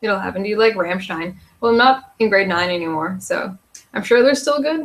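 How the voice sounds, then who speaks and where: A woman with a strong Canadian accent talks at a fairly quick pace and a medium pitch. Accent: strong regional Canadian. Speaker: youtuber. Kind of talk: casual livestream Q&A.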